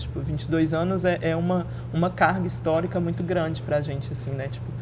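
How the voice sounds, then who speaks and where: There is audible room echo along with noticeable background noise. Within it, a woman talks at a fairly quick pace. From Belo Horizonte, Minas Gerais, Brazil (north zone). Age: 20s. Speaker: activist and historian. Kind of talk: casual interview.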